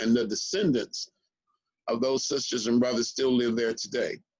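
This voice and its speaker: Here a man talks at a moderate pace. He has a normal speaking voice at a medium pitch. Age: 60s. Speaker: historian. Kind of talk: interview conversation.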